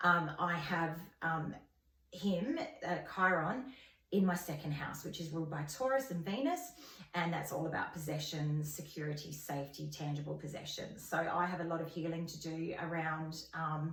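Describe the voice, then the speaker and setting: A woman's fairly low voice with an Australian accent, at a moderate pace with ordinary pitch variation, plus audible room echo and noticeable background noise. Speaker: astrology vlogger. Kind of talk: informal tutorial. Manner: hesitant, many fillers.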